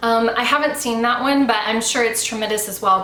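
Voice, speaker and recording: A fairly quick American accent with ordinary pitch variation, audible room echo and noticeable background noise. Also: woman. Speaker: YouTuber, book and movie reviewer. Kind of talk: casual review monologue. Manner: conversational with fillers.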